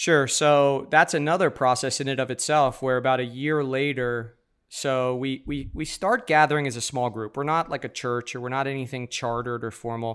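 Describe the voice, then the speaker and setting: A man with an American accent has a plain, everyday voice at a medium pitch, moving at a moderate pace with fairly even intonation. The recording is very clean, with a silent background. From New York. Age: 30s. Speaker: church planter and pastor. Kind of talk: interview conversation.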